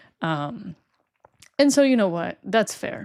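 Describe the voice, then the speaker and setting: In a very clean recording with a silent background, a woman with a Spanish accent speaks at a fairly quick pace. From Spain. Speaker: Formula 1 streamer. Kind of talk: live stream reaction chat. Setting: live stream. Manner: casual, animated. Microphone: new microphone.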